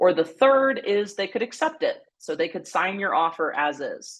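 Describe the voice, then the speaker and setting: The background is quiet as this woman talks. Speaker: real estate agent. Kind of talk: lecture. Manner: fast.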